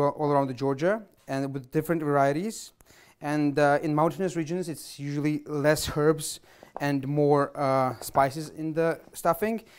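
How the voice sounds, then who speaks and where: Fairly even intonation at a moderate pace, set against a quiet background. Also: man. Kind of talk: cooking show explanation. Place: kitchen.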